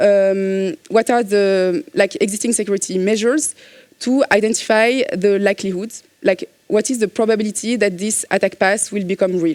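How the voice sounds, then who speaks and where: In a French accent, a woman speaks at a medium pitch and a moderate pace with ordinary pitch variation, in dry, close sound with no echo. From France. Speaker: cybersecurity consultant. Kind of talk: conference talk. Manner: hesitant, many fillers.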